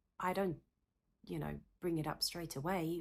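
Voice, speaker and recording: A woman speaks in a South African accent. Her pace is moderate and her pitch varies in an ordinary way. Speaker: psychotherapist. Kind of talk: talking-head Q&A video. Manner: animated; halting.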